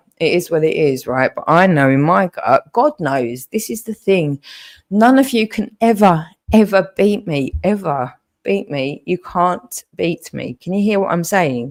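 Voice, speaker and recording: Shaky and fairly low in pitch, a woman speaks with lively intonation. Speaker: livestreamer. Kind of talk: emotional livestream rant. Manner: shaky voice; repetitive, halting.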